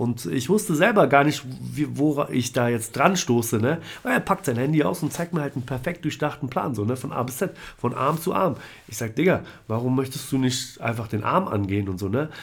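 The man's voice is somewhat breathy, with lively intonation. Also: medium pitch for a man, fairly quick pace. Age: 30s. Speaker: tattoo artist. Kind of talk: casual chat. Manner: hesitant, filler-heavy.

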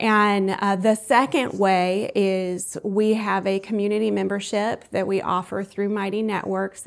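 A woman speaks at a fairly slow pace with hardly any pauses, in an American accent, her medium-pitched voice monotone and flat. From US South, Columbus, Georgia. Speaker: arts community founder and spiritual coach. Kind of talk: interview.

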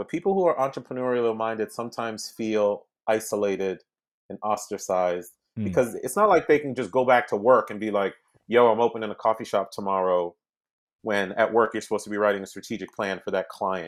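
A man's medium-pitched voice at a very fast pace, with ordinary pitch variation and a very clean recording against a silent background. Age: 40s. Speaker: former federal agent and tech executive turned real estate investor. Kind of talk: interview. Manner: animated.

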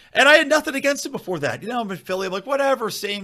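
A man speaks with vocal fry and a bright, sharp tone. The recording is very clean, with a silent background. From Philadelphia area, Pennsylvania. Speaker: libertarian podcaster. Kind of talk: casual political chat.

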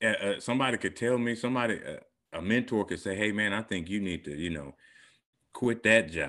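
With vocal fry and a bright, sharp tone, a man talks at a fairly quick pace in a fairly low voice over a quiet background. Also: lively intonation. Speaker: podcast co-host. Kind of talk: casual chat.

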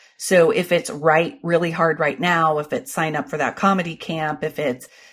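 A woman with an American accent speaks in a somewhat breathy voice at a fairly low pitch. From Ohio, US Midwest. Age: 40s. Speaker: comedian, TV producer and author. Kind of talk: casual interview. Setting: remote call.

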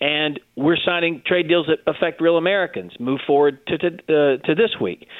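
In an ordinary speaking voice, a man speaks at a moderate pace and fairly high pitch, with ordinary pitch variation. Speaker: government spokesperson. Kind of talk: interview.

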